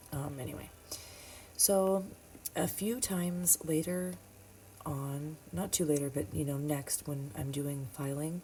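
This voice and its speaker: A soft-spoken, somewhat breathy woman talks at a very deep, low pitch with ordinary pitch variation. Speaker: nail technician. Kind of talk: tutorial. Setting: home at midnight.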